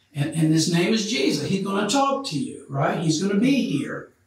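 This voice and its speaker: Audible room echo surrounds a man whose voice has very wide pitch swings. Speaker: Bible study teacher. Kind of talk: Bible study lecture. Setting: church. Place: classroom. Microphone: camera far.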